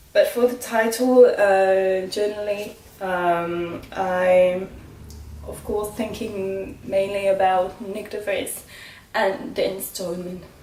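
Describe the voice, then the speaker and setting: A woman's medium-pitched voice, very slow and fairly even in intonation, with big swings in loudness and audible room echo. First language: not English. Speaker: motorsport vlogger. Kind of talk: casual vlog commentary. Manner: halting, many fillers.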